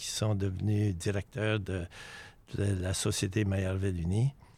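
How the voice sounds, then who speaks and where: At a very slow pace, a man speaks with a dark, mellow tone and a fairly low pitch, in a very clean recording with a silent background. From Maillardville, British Columbia. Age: 80s+. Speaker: retired teacher and community founder. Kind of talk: self-introduction.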